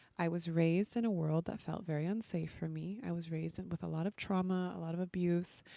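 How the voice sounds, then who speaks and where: Soft-spoken, a woman talks at a fairly quick pace and a fairly low pitch, with ordinary pitch variation. Her tone is dark and mellow, and the recording is very clean with a silent background. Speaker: podcast host and women's coach. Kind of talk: podcast monologue.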